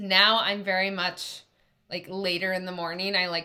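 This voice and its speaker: A woman with an unremarkable speaking voice talks at a medium pitch. She speaks with a Canadian accent at a moderate pace. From Canada. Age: 30s. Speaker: sleep expert and behavior coach. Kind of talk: interview.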